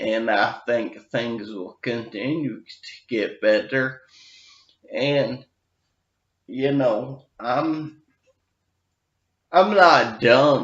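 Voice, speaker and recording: Using long, frequent pauses and big swings in loudness, a man talks at a very slow pace with a medium pitch. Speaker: brain injury survivor vlogger. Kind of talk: personal vlog update. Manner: careful, effortful articulation.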